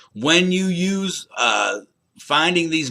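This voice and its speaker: Loud and very slow, a man speaks in a bright, sharp tone. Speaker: college instructor. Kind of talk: recorded lecture to students.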